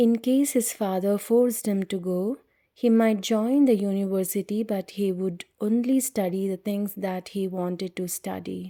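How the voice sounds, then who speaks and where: A soft-spoken woman at a medium pitch, dark and mellow in tone, fairly even in intonation, at a moderate pace with hardly any pauses, on a very clean recording with a silent background. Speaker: audiobook reader. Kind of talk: reading aloud. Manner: whispering.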